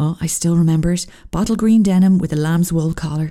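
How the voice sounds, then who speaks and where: A woman speaks in an Irish accent with noticeable background noise. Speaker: podcast host. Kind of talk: casual solo monologue.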